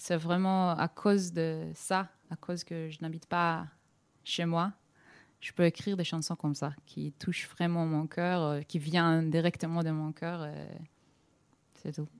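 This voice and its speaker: A woman speaks very slowly with long, frequent pauses, monotone, flat intonation and a fairly low pitch, the sound dry and close with no echo on a very clean recording with a silent background. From Israel, Tel Aviv. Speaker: singer-songwriter. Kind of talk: interview. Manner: halting, mixing French and English.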